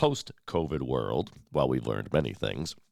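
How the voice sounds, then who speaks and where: On a very clean recording with a silent background, a man speaks with vocal fry. His pitch swings very widely. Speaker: local news host. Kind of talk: community news show. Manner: conversational.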